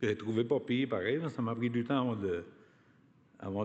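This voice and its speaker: Pitched at a medium level and moving at a moderate pace, a man with a normal speaking voice keeps his intonation fairly even. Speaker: union activist, award recipient. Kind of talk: acceptance speech.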